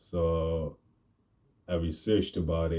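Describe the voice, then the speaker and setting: Very slow and very deep, a man speaks with a dark, mellow tone. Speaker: vlogger and aspiring rapper. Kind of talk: casual vlog monologue. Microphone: new mic.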